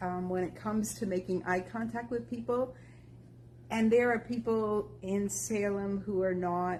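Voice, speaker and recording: This woman's voice is dark and mellow, somewhat breathy, medium in pitch, swinging very widely in pitch at a moderate pace. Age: 60s. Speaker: walking group member. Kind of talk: casual group talk.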